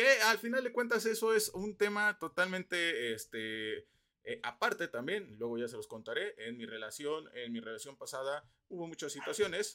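A man with a Mexican accent, a high pitch and very wide pitch swings, in a raised, projected voice with a bright, sharp tone at a moderate pace. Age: 20s. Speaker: podcast host. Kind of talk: casual monologue. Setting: at home.

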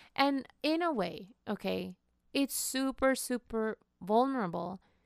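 A woman with a non-native accent is heard dry and close, with no echo. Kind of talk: casual chat.

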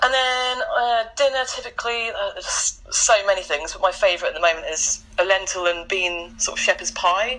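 A woman at a moderate pace with hardly any pauses, music in the background. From eastern England, Norwich. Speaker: vegan campaigner. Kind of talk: interview.

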